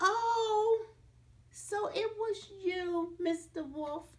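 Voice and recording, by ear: A put-on character voice moves at a very slow pace. Its tone is slightly mellow, with ordinary pitch variation. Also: woman, extremely high pitch for a woman.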